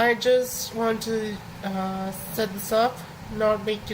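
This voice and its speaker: A woman's fairly high-pitched voice in a monotone, flat delivery, with audible room echo and noticeable background noise. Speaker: animation streamer. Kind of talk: casual live stream talk. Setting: live stream. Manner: halting, many fillers.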